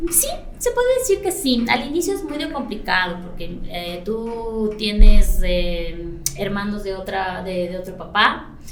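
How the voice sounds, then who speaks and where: Over noticeable background noise and audible room echo, a woman speaks at a medium pitch and a fairly slow pace. Her intonation is lively and her loudness swings widely. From Ecuador, Latacunga (highlands). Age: 40s. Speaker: salon and spa owner. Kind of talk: podcast interview. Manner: hesitant, many fillers.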